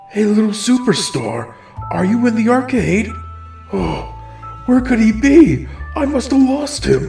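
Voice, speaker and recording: A put-on character voice at a fairly high pitch moves at a fairly slow pace over clear music in the background. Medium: machinima. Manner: warm, friendly.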